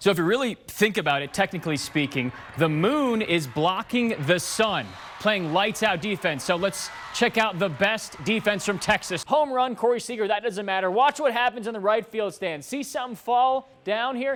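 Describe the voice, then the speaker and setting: A man with a high pitch talks at a moderate pace, with lively intonation. Noticeable background noise is present. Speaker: sports anchor and reporter. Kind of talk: TV sports anchor delivery, casual upbeat banter.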